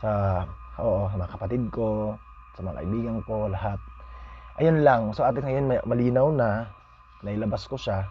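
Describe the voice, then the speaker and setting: A man speaks with ordinary pitch variation and long, frequent pauses. Music plays in the background, and room echo is audible. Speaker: vlogger. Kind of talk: casual vlog monologue. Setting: at home. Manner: halting.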